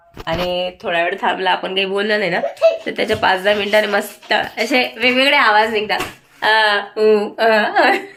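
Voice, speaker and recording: A woman talks at medium pitch with fairly even intonation. Noticeable background noise runs underneath. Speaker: family vlogger. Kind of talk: vlog talk to camera.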